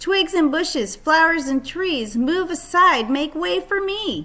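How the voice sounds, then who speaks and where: A woman puts on a character voice at an extremely high pitch. She speaks at a fairly slow pace. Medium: read story.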